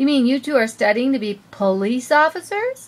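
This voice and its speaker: A woman puts on a character voice, pitched high. She keeps to a moderate pace. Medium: read story.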